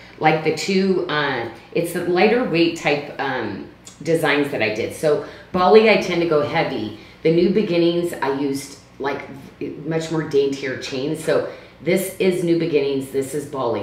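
Audible room echo surrounds this voice. A woman with a very deep, low pitch speaks at a moderate pace. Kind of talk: live shopping presentation. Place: home room.

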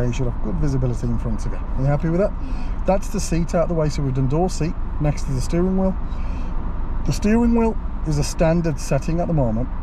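A man speaks at a very fast pace with very even loudness. The sound is dry with no echo, and background noise is noticeable. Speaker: driving instructor. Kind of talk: tutorial. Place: car. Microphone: camera far.

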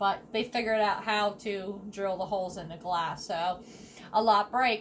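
Ordinary pitch variation over light background noise. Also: woman. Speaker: YouTube vlogger. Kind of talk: craft tutorial vlog. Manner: hesitant, many fillers. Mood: cheerful, chatty. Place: kitchen. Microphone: phone near.

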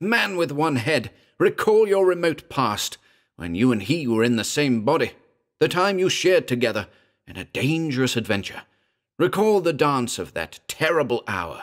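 A man's put-on character voice, shrill and fairly high-pitched, at a moderate pace in a very clean recording with a silent background. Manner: ugly, harsh, declaiming.

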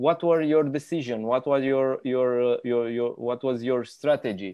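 Against a quiet background, a man with a Romanian accent talks fairly slowly with fairly even intonation. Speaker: business magazine interviewer. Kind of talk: interview. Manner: halting. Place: home room. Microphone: earbuds.

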